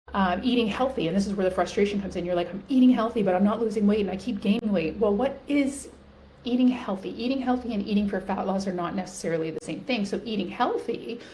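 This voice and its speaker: At a very fast pace, a woman talks at a medium pitch with ordinary pitch variation, amid audible room echo and noticeable background noise. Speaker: women's health and weight loss coach. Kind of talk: talking-head video tutorial. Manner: animated.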